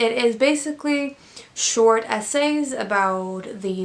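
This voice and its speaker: The woman speaks at a fairly high pitch. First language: Swedish. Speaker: book reviewer. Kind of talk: casual book review vlog. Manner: hesitant, many fillers.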